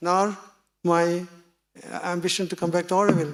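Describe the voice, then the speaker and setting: A man speaks with a Tamil accent and a high pitch. His pace is fairly quick. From Tamil Nadu, India. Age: 70s. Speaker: seminar speaker. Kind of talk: talk to audience. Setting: small meeting with audience.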